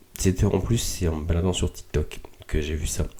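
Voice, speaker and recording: A man speaks at a fairly slow pace. His voice is somewhat breathy, with a dark, mellow tone. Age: 20s. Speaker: podcast host. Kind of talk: casual reflective monologue. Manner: halting with many fillers.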